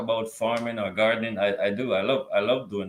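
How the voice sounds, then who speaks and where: A man talks at a very fast pace. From Jamaica. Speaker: gardener. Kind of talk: interview. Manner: halting, repeats words.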